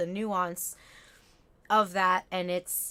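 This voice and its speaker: Here a woman speaks at a medium pitch. The recording is very clean, with a silent background. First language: Spanish. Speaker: talk show host. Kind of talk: casual chat.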